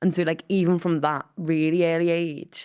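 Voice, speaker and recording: On a very clean recording with a silent background, a woman with a Liverpool accent speaks in a fairly low pitch with monotone, flat intonation. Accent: Scouse. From Merseyside, England (Wallasey, Wirral). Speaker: comedian and writer. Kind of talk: casual chat.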